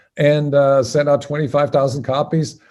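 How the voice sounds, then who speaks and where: This voice carries an Austrian accent and a dark, mellow tone. It is somewhat breathy and moves at a moderate pace. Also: man. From Austria, Salzburg. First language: German. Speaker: sales trainer and magazine founder. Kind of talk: interview.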